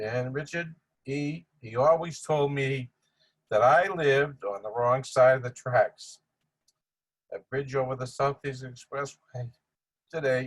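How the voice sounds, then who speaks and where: Somewhat breathy and fairly slow, a man at a medium pitch speaks with fairly even intonation and long, frequent pauses. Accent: Boston. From Boston, Massachusetts (Dorchester). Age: 80s+. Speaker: family friend giving eulogy. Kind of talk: memorial tribute speech. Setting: virtual video tribute.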